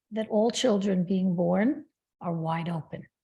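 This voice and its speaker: On a very clean recording with a silent background, a woman speaks at a moderate pace in a medium-pitched, somewhat breathy voice with a dark, mellow tone and ordinary pitch variation. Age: 70s. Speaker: spiritual healer and author. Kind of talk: interview.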